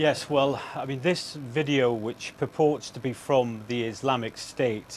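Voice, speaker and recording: In an ordinary speaking voice, the man talks at a moderate pace with a medium pitch. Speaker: news correspondent. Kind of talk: live TV news report.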